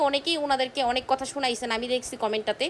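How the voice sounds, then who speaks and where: A woman speaks loudly over noticeable background noise. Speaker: vlogger. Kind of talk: apology monologue to viewers.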